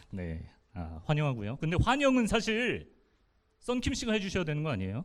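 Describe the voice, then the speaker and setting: A man's fairly quick, fairly high-pitched speech with very wide pitch swings and audible room echo. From Daejeon, South Korea. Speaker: radio announcer and event host. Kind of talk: live public event hosting. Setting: stage with audience.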